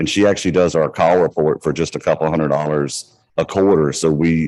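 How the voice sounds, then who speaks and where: A man speaks with a Southern US accent at a moderate pace. His pitch is very deep and low. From US South. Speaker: credit union manager. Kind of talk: panel discussion.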